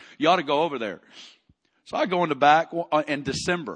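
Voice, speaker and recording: Against a quiet background, a man with an American accent talks in an animated tone at a fairly quick pace, with ordinary pitch variation. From Arkansas, US South. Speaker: preacher. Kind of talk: church Q&A talk.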